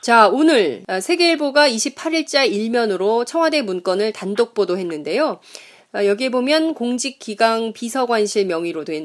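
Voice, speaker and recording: Her pitch is fairly high and swings very widely. The woman speaks at a fairly slow pace. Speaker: current affairs podcast host. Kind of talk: news talk show interview. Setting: studio.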